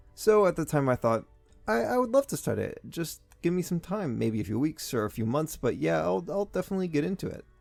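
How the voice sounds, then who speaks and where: A man rattles along at a very fast pace while music plays in the background. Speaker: voice actor. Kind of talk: casual storytelling to camera, comedic anecdote. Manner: conversational, animated.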